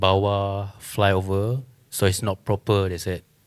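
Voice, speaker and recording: Recorded very cleanly against a silent background, a man with a Malaysian accent talks at a fairly slow pace in a fairly low pitch. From Sarawak, Malaysia. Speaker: muralist. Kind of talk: panel discussion.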